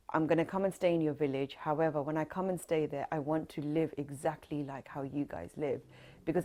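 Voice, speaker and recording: Over a silent background in a very clean recording, a woman talks at a fairly quick pace in a monotone, flat way, her very deep, low voice dark and mellow. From northwest London, England. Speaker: folk singer, oral history interviewee. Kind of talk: oral history interview.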